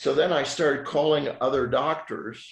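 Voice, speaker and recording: This man's voice has a somewhat breathy quality. He keeps to a moderate pace. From Switzerland. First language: French. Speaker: physician. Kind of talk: podcast interview.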